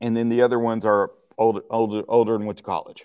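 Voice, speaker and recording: A man with a Texan accent talks at a moderate pace. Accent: Southern US, Texan. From Texas. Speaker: martial arts instructor. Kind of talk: casual interview chat. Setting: video call.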